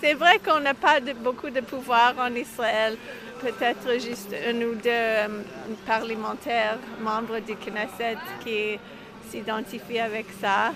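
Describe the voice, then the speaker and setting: A woman's fairly high voice at a very slow pace, with ordinary pitch variation, amid noticeable background noise. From Quebec (Montreal). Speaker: rabbi. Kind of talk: interview. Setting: outdoors.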